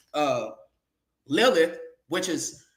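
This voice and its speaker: A man speaks at a high pitch, and audible echo fills the room. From California. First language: sign language. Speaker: guest speaker on a livestream. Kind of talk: casual livestream talk, lecture-like. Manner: halting, many fillers.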